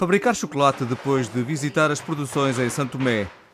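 A man's medium-pitched voice, with ordinary pitch variation, comes through noticeable background noise. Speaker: radio reporter. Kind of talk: scripted report narration.

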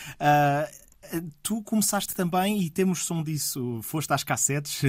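Fairly high-pitched man's voice with ordinary pitch variation in a very clean recording with a silent background. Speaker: radio host. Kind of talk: radio interview.

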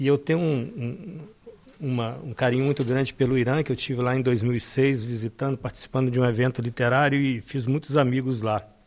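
Fairly quick delivery from a man with a medium pitch and fairly even intonation. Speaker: poet. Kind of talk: poetry reading aloud.

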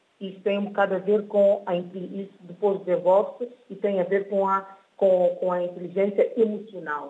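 Her medium-pitched voice holds a monotone, flat intonation as this woman talks at a moderate pace. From São Tomé and Príncipe. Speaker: author. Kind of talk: radio interview. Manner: hesitant, repeats words.

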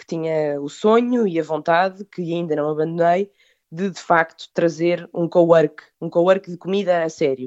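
Speaking at a fairly slow pace, a woman with a plain, everyday voice has a fairly low pitch and ordinary pitch variation. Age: 30s. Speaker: food business owner. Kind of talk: interview.

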